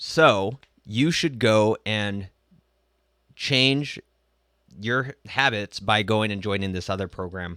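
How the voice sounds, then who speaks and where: A man speaks very slowly in a fairly low pitch with a bright, sharp tone and ordinary pitch variation, leaving long, frequent pauses. The recording is very clean with a silent background and a dry, close sound with no echo. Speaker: business coach and vlogger. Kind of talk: motivational vlog monologue. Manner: casual, conversational.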